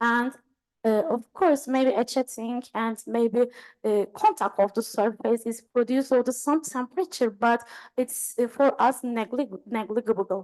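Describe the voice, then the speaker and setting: A woman speaks at a fairly slow pace in a high pitch with ordinary pitch variation. The sound is dry and close, with no echo. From Turkey. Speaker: engineering professor. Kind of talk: lecture Q&A. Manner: halting.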